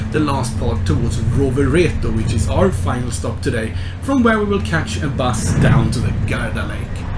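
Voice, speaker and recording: A man at a moderate pace with hardly any pauses, music in the background. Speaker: travel vlogger. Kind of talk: casual vlog chat. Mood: cheerful, upbeat. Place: train. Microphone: phone near.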